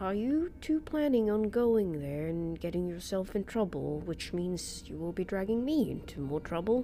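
Gruff put-on character voice at a moderate pace, over clear background noise. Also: woman, medium pitch for a woman. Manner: nervous, condescending, gruff.

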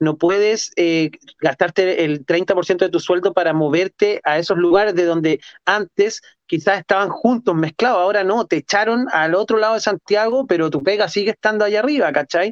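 A man with a Chilean accent speaks at a high pitch and a moderate pace, with ordinary pitch variation and very even loudness. The sound is dry and close with no echo. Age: 40s. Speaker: street artist and photographer. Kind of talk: casual chat.

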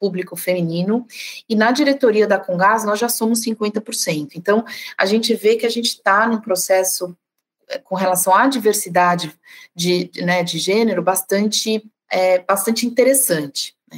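A woman with an unremarkable speaking voice talks at a fairly slow pace, at a medium pitch with ordinary pitch variation. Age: 40s. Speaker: sales director. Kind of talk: casual conversation.

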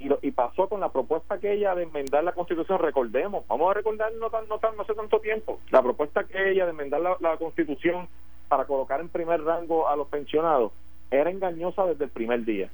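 A man talks at a fairly quick pace with a high pitch. His intonation is lively. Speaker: politician. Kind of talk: radio interview.

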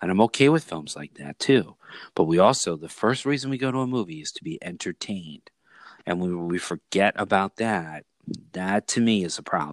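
A plain, everyday voice, this fairly low-pitched man talks at a moderate pace with lively intonation and big swings in loudness, in a very clean, silent-background recording with a dry, close sound and no echo. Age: 50s. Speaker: movie podcast host. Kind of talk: casual chat.

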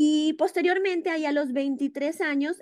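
A woman talks at a fairly slow pace. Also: dry, close sound with no echo. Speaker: media entrepreneur. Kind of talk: casual chat. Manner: halting with repetitions.

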